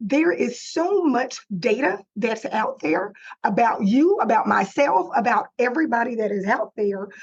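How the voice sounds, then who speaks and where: With a Texan accent and a fairly high pitch, a woman speaks fairly slowly with lively intonation and hardly any pauses. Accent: Texas country twang. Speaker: digital marketing consultant. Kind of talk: webinar presentation. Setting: live webinar, screen sharing.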